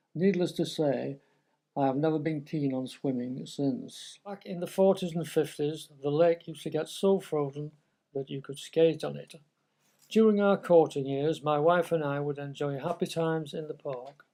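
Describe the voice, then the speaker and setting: With a Lancashire accent and a dark, mellow tone, a man with a fairly high pitch speaks at a moderate pace with ordinary pitch variation on a very clean recording with a silent background. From northern England. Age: 80s+. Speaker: local resident. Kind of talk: reading aloud.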